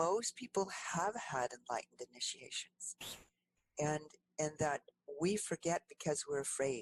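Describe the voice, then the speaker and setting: The woman's pitch is very deep and low, her pace fairly slow. The sound is dry and close, with no echo. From US Great Lakes, Finnish-American community of Sault Ste. Marie. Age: 70s. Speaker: energy medicine healer and counselor. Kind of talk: podcast interview storytelling.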